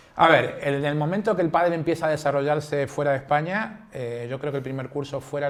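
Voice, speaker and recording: Over noticeable background noise, a man with a fairly high voice speaks fairly quickly with ordinary pitch variation. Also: hardly any pauses, big swings in loudness. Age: 60s. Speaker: padel coach and referee. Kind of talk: interview. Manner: hesitant, many fillers.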